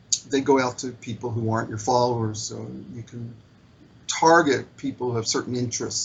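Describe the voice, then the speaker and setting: A man uses a normal speaking voice at medium pitch, a moderate pace and fairly even intonation. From US, Baltimore. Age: 60s. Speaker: social media marketer, spiritual seeker. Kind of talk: interview conversation.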